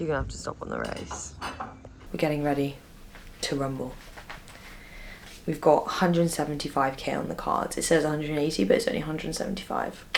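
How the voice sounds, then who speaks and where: With a very deep, low pitch, a woman talks at a fairly quick pace with ordinary pitch variation and long, frequent pauses. Noticeable background noise and audible room echo are present. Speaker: pro gravel cyclist and vlogger. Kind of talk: casual vlog chat. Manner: animated; whispering.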